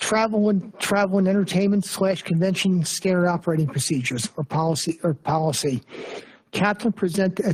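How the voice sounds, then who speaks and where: A somewhat breathy woman talks at a fairly quick pace with ordinary pitch variation. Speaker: borough council member. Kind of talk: committee report at council meeting. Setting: public council meeting. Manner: halting, with self-corrections.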